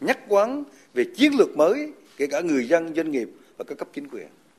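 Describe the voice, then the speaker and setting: A man talks at a fairly quick pace in a high pitch, with very wide pitch swings. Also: big swings in loudness. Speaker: national assembly deputy. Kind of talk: formal speech.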